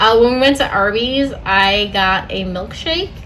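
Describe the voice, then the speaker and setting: Over music in the background, a woman speaks with ordinary pitch variation and audible room echo. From Puerto Rican background. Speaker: vlogger. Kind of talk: casual vlog update. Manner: casual, filler-heavy.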